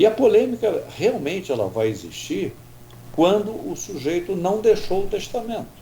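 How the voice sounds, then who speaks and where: Over noticeable background noise, a man with a high pitch and lively intonation talks at a moderate pace. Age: 70s. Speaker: doctor. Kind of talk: radio interview.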